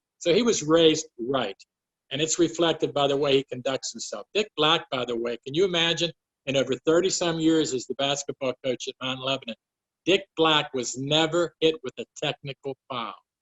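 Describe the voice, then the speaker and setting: Speaking in a Western Pennsylvania accent, a man uses a fairly high pitch with ordinary variation at a moderate pace. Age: 70s. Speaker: sports writer. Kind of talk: recorded talk for virtual fundraising event.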